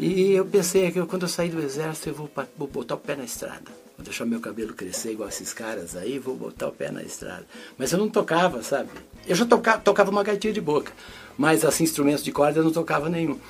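Over music in the background, the voice races at a very fast pace with very wide pitch swings and big swings in loudness. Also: man, fairly high pitch for a man. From northern Paraná, Brazil. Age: 70s. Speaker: musician. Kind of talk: casual interview. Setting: studio.

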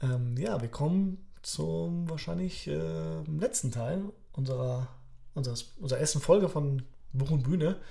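Somewhat breathy and dark, mellow in tone, a man speaks at a fairly slow pace with very wide pitch swings. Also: fairly high pitch for a man. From Poland, Upper Silesia (moved to Germany around age 10). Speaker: author and teacher, podcast co-host. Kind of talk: casual chat. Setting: studio-like home recording, sitting opposite co-host.

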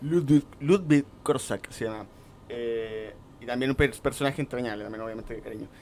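Fairly even intonation and a moderate pace come from a man with an unremarkable speaking voice. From Chile, Coquimbo. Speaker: role-playing game distributor. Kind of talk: casual chat.

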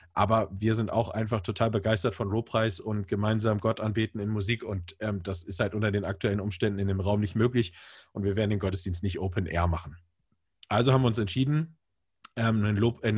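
A man's somewhat breathy, fairly low voice at a fairly quick pace, with fairly even intonation. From northern Germany, Bremen. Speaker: church media producer. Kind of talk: casual interview. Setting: video call.

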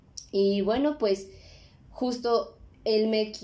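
A woman's fairly high voice with a dark, mellow tone and ordinary pitch variation. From Mexico City. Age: 20s. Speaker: podcast host. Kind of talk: casual monologue. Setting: home recording. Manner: animated.

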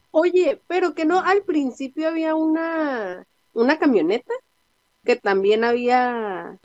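A woman's high voice, very slow, with very wide pitch swings and a dry, close sound lacking any echo. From Tijuana, Mexico. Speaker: podcast host. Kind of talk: casual chat. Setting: remote recording.

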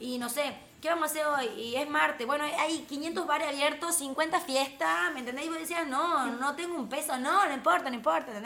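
In a Tucumán accent, a woman with a high pitch uses a raised, projected voice and an animated tone, moving at a moderate pace with hardly any pauses, ordinary pitch variation and audible room echo. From Tucumán, Argentina. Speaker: entrepreneur. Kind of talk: casual chat. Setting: live stream.

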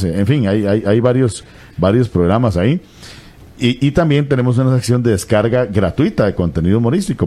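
Over noticeable background noise, a man talks fairly quickly with lively intonation. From Costa Rica, Limón. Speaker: radio announcer. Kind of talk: interview.

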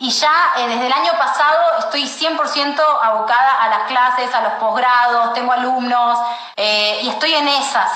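A woman speaks at a high pitch with a Rioplatense accent. The room echo is audible, and background noise is noticeable. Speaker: astrologer. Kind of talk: casual chat.

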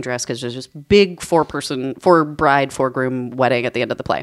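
This woman's voice sits very deep and low in pitch. She speaks at a fairly quick pace with ordinary pitch variation. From New Mexico. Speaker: witchcraft practitioner. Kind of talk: casual chat.

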